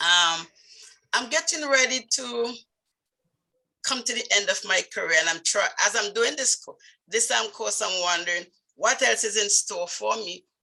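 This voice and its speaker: A woman's bright, sharp voice, fairly high in pitch, with lively intonation, a moderate pace and long, frequent pauses. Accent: strong Vincentian. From Saint Vincent, West Indies. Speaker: nurse midwife, speaking club member. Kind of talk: personal story speech. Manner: halting.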